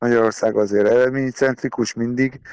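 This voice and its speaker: His speech rushes along very quickly. This man's voice is mid-range in pitch. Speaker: national fencing team coach. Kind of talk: radio interview.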